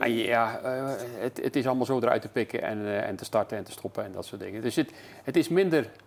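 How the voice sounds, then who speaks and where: A man's medium-pitched voice moves fairly quickly, its pitch varying in an ordinary way. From Netherlands, Zeeland (Terneuzen). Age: 60s. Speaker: local radio presenter. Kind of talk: casual interview. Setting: tv studio. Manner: halting, many fillers.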